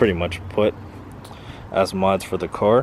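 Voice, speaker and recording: A man talks fairly slowly in a fairly low pitch. Noticeable background noise runs behind him. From Philippines. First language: Filipino language. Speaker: car YouTuber. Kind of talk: casual vlog talk.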